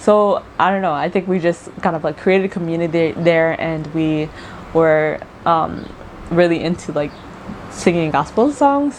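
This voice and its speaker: Fairly low-pitched speech from a woman at a moderate pace, with ordinary pitch variation and noticeable background noise. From South Sudan, moved abroad very young (upstate US). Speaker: YouTuber. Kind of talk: casual vlog Q&A. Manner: casual with many fillers.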